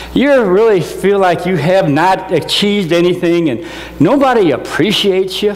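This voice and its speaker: An American-accented man with a high pitch speaks at a moderate pace amid noticeable background noise and audible room echo. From US Midwest, northwest Indiana. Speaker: motivational speaker, NASA engineer. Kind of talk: motivational talk. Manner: animated.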